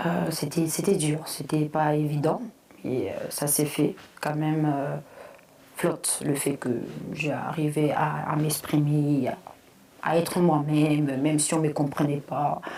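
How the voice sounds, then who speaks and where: A woman with a very deep, low pitch speaks very slowly in a monotone, flat way, leaving long, frequent pauses. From Congo, then Flanders, Belgium. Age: 30s. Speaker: content creator. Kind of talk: personal testimony. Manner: halting, many fillers.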